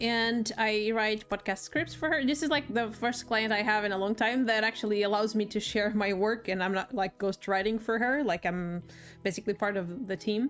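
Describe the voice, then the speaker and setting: The speech moves at a moderate pace with hardly any pauses. Loudness stays very even, and pitch varies in an ordinary way. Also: woman, fairly high pitch for a woman. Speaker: writer and streamer. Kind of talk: casual chat. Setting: live stream.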